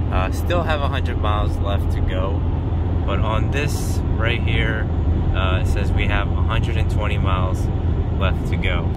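A man at a fairly slow pace, loud background noise behind him, the sound dry with no echo. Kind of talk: casual vlog chat. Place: car.

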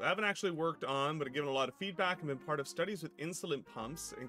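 Clear music sits in the background as a man rattles on at a very fast pace. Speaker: live streamer. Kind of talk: casual stream chat. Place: home room.

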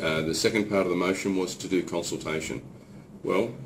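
Talking at a fairly quick pace, a man is heard over noticeable background noise. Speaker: politician. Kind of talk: explanatory statement to camera. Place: office. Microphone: camera far.

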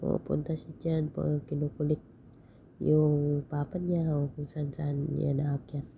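A woman speaks at a very slow pace with a very deep, low pitch and a dark, mellow tone. Her somewhat breathy delivery is monotone and flat. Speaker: vlogger. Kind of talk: casual vlog narration. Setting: outdoors at the beach. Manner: laughing often.

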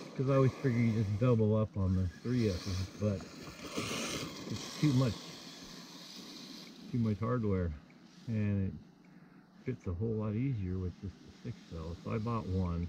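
Over noticeable background noise, with a dry sound and no echo, a man speaks at a fairly slow pace with long, frequent pauses and ordinary pitch variation. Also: fairly low pitch for a man, big swings in loudness. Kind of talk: casual commentary. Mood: relaxed, enthusiastic. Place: street. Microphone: phone near.

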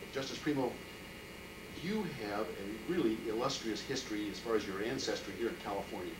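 The speech moves at a fairly quick pace, broken by long, frequent pauses. Background noise is noticeable throughout. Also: man. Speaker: oral history interviewer. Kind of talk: interview questions. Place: office. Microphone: old recording.

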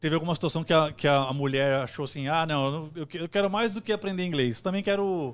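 This man talks at a fairly quick pace with hardly any pauses. His pitch is fairly high, with ordinary variation. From Brazil, São Paulo east zone; Brazil. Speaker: podcast host. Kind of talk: casual chat. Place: studio. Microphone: studio mic.

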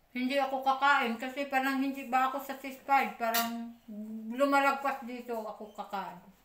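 At a moderate pace and with fairly even intonation, the speech carries audible room echo over light background noise. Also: woman, high pitch for a woman. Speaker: vlogger. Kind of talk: casual eating vlog. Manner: chatty, with mouth full while eating. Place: home room. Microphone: phone near.

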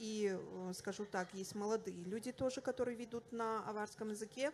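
A woman with an unremarkable speaking voice talks at a fairly slow pace and a fairly high pitch, her intonation fairly even, over light background noise. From Dagestan, Russia. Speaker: language activist, teacher; teacher. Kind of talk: panel discussion. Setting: festival stage with audience. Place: hall. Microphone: handheld.

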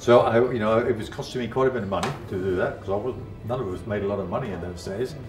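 Clear music can be heard in the background. Over it, a man speaks fairly fast. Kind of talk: interview answer. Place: home room.

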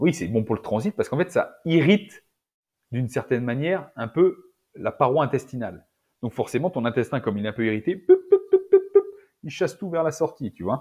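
A man's dark, mellow, somewhat breathy voice, fairly quick and lively in intonation, over a quiet background. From France, Auvergne (rural); France. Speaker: naturopath and nutrition adviser; podcast guest. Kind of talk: casual interview. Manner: halting, many repetitions and fillers. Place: home room. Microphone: earbuds.

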